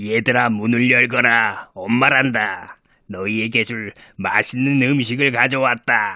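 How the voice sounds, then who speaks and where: A man uses a put-on character voice at a medium pitch, speaking fairly slowly. The recording is very clean, with a silent background. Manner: coaxing, feigning a mother's gentleness.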